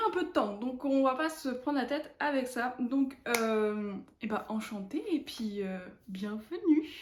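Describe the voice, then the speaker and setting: Lively intonation in a woman's high voice. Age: 20s. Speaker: knitting vlogger. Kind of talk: casual chat. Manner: hesitant, many fillers.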